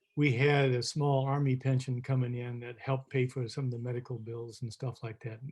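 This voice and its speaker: At a moderate pace, a man speaks in a somewhat breathy, medium-pitched voice with monotone, flat intonation. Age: 70s. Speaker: father of a child with a rare disease, foundation board president. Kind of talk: interview. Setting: video call. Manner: halting.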